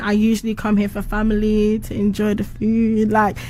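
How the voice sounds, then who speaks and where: A woman talks in a monotone with flat intonation and a fairly high pitch. Noticeable background noise sits behind her. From United Kingdom. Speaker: musician. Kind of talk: casual chat.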